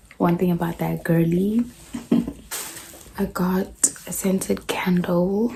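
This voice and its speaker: A woman's fairly low voice, fairly slow and fairly even in intonation, against noticeable background noise. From South Africa. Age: young. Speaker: au pair. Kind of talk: casual haul vlog to camera.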